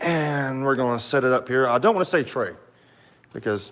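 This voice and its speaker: A man with a strong Southern US accent at a moderate pace. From US South, south Alabama coast. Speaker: YouTuber reviewing military rations. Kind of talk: live stream product review. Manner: casual, many fillers.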